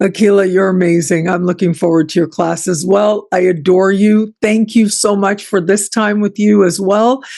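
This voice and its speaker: A woman with a Canadian accent has a normal speaking voice at medium pitch and a moderate pace, with ordinary pitch variation. The background is quiet. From Canada. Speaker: astrology show host. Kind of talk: casual interview chat.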